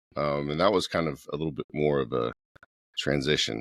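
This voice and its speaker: The sound is dry and close, with no echo. A man with a very deep, low pitch speaks at a moderate pace. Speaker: automotive engineer, former naval officer. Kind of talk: podcast interview. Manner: loud.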